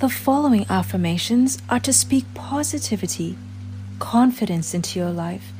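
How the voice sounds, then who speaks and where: A woman talks in a calm tone at a fairly slow pace, with music playing in the background. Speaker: affirmations guide. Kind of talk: affirmation reading. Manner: calm, slow.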